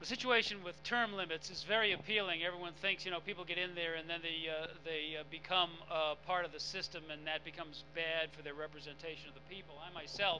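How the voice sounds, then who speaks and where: A man with a high pitch races along at a very fast pace, barely pausing at all. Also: fairly even intonation. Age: 60s. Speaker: political candidate. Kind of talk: candidate debate answer. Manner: halting, many fillers.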